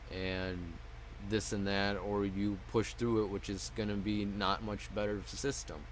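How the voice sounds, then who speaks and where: Audible room echo rings around the voice. The man keeps his intonation fairly even. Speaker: mental health vlogger. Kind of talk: personal vlog monologue. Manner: muttered; halting.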